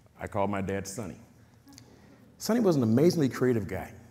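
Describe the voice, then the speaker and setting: Over audible room echo, a man speaks at a medium pitch with a dark, mellow tone. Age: 50s. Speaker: community activist. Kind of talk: talk. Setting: stage with audience.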